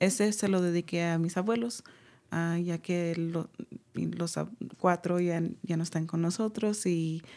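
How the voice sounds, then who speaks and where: Very slowly, a woman with a fairly low pitch and a dark, mellow tone speaks on a very clean recording with a silent background. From California Central Valley. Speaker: artist. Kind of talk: radio interview.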